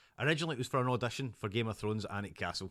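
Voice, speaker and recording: In a very clean recording with a silent background, a man with a Scottish accent speaks at a medium pitch with ordinary pitch variation. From Scotland, North Ayrshire (Kilwinning). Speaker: podcast guest, actor and business owner. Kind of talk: interview, personal story. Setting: at his home.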